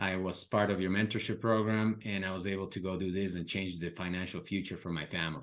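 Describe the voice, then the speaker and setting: A man with a very deep, low pitch talks at a very fast pace, with hardly any pauses. His intonation stays fairly even against a quiet background. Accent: Spanish. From Ecuador, Quito. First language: Spanish. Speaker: real estate investor and mentor. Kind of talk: podcast interview.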